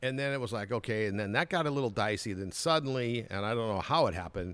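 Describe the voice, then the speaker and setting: This man speaks with an American accent. The recording is very clean, with a silent background. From Southern California. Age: 60s. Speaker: TV news anchor. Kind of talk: podcast interview, casual storytelling. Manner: animated.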